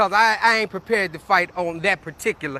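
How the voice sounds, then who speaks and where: A man's raised, projected voice with a bright, sharp tone, at a moderate pace, in a dry, close sound without echo. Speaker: activist livestreaming a protest. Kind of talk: live street protest broadcast. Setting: outdoors on a sidewalk.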